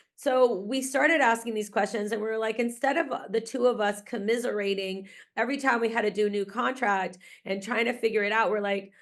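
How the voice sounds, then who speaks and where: Against a quiet background, a woman with an American accent speaks at a fairly high pitch with ordinary pitch variation. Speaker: grant writing consultant and researcher. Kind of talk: webinar presentation. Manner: casual, with frequent fillers.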